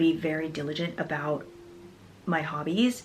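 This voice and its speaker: A soft-spoken woman is talking. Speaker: fitness vlogger. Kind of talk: casual monologue. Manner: halting.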